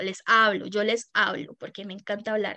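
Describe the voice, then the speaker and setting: A woman speaks at a fairly slow pace. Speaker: podcast co-host, tarot reader. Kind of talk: casual chat.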